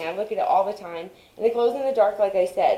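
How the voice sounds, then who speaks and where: Shouting over noticeable background noise, a woman speaks at a medium pitch and a moderate pace in an animated tone. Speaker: home gardening vlogger. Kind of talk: casual vlog tutorial. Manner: loud, yelling.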